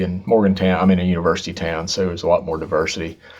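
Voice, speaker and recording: The speaker has an Appalachian accent. Noticeable background noise is present. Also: man. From southern West Virginia (Logan). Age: 60s. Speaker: singer-songwriter. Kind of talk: radio interview.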